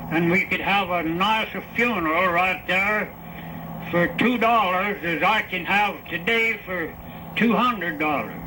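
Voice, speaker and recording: A raised, projected voice speaks at a fairly slow pace with fairly even intonation. Noticeable background noise can be heard. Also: man, high pitch for a man. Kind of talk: interview answer. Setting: old archival recording.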